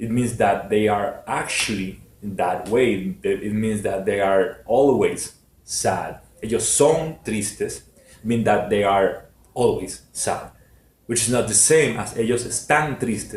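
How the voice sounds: A man at a fairly low pitch, slow pace and ordinary pitch variation, with audible room echo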